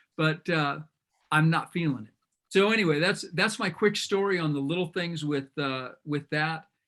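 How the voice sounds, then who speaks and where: Loud and at a moderate pace, a man with a fairly high pitch and a bright, sharp tone speaks with ordinary pitch variation. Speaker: business coach. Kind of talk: group video call discussion.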